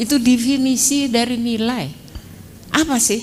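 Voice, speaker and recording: A woman speaks at a fairly slow pace. The room echo is audible, and background noise is noticeable. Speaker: law professor. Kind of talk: lecture. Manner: brisk.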